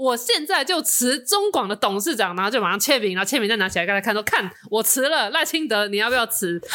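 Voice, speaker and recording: The pitch of a woman's voice swings very widely. She speaks fairly quickly. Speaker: podcast co-host. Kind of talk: casual chat.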